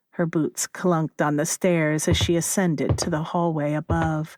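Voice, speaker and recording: A woman's fairly low voice at a fairly slow pace, on a very clean recording with a silent background and a dry, close sound with no echo. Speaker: narrator. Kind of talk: horror story narration.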